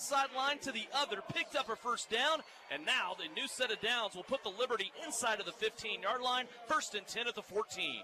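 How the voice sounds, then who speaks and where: A man's excited, raised and projected voice at an extremely high pitch, over noticeable background noise. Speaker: play-by-play announcer. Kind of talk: live sports commentary. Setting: arena broadcast. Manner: fast, excited play-by-play call, rising urgency on big plays.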